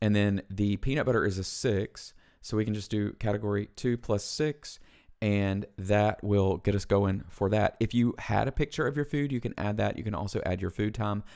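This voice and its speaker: On a very clean recording with a silent background, a man with a Southern US accent speaks at a moderate pace and fairly low pitch, with ordinary pitch variation. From US South. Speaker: weight loss vlogger. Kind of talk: casual tutorial. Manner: casual, conversational with fillers.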